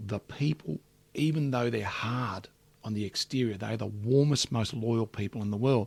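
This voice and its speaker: On a very clean recording with a silent background, a somewhat breathy man speaks at a medium pitch and a moderate pace with ordinary pitch variation, in a dry, close sound with no echo. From Australia (Melbourne eastern suburbs), Calabrian family. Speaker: business executive and entrepreneur. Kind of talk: interview conversation.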